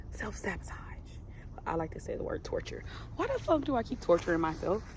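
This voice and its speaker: Background noise is noticeable, along with audible room echo. A woman speaks at a very fast pace. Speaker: vlogger. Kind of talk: casual vlog monologue. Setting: outdoors in nature. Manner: loud.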